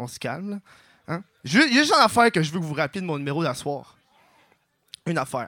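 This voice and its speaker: Speech comes at a very fast pace with lively intonation and long, frequent pauses, in a dry, close sound with no echo. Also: man. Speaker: comedian. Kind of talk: stand-up.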